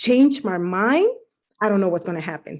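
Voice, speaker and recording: A woman speaks with lively intonation. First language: Spanish. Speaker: team coach in direct sales. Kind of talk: testimony. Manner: halting, code-switching English and Spanish.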